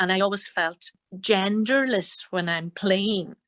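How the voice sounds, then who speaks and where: In a Donegal accent, a woman speaks at a fairly slow pace with a medium pitch and fairly even intonation, recorded very cleanly against a silent background with a dry, close sound and no echo. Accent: Donegal Irish. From Ireland, Donegal. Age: 60s. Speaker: fiddle player and singer. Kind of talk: interview.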